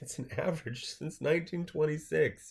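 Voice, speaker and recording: A somewhat breathy voice moves at a moderate pace in a very clean recording with a silent background. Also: man. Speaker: finance vlogger. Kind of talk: casual commentary on an article. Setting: screen capture video. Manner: stuttering.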